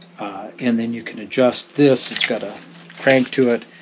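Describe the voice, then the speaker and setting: Over noticeable background noise, a man speaks at a fairly slow pace with monotone, flat intonation. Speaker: fishing channel host. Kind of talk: tutorial. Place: boat. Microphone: camera far.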